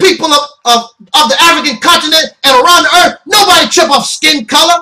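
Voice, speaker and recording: A man projects a raised, bright, sharp voice at an extremely high pitch. He moves at a moderate pace amid audible room echo. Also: quiet background. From United States. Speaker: internet ministry host and commentator. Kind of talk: opinionated sermon-style monologue. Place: home room. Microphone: webcam.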